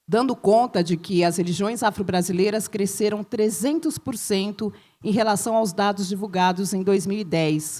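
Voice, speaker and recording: At a moderate pace, a woman with a dark, mellow tone speaks at a medium pitch with ordinary pitch variation on a very clean recording with a silent background. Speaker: professor. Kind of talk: reading aloud.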